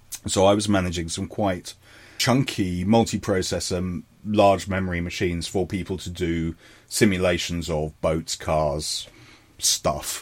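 A man with a southern English accent speaks at a fairly slow pace in a very deep, low pitch. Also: fairly even intonation. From London, England. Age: 40s. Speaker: digital forensics consultant. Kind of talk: casual interview. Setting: video call. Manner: halting.

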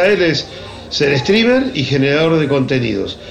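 In a Rioplatense accent, a man speaks at a moderate pace with very wide pitch swings, amid audible room echo and noticeable background noise. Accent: Argentine Rioplatense Spanish. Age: 50s. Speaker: advertising agency founder. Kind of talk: casual chat. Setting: remote call.

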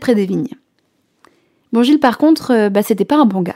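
Her pitch fairly high, a woman talks at a fairly quick pace with lively intonation. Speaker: radio host and storyteller. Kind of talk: scripted narration.

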